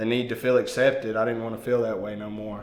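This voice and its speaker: Audible room echo surrounds a man speaking at medium pitch with a Mississippi accent. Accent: Southern US (Mississippi). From US South, Meridian, Mississippi. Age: 30s. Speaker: recovering addict sharing testimony. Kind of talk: testimony. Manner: hesitant, many fillers.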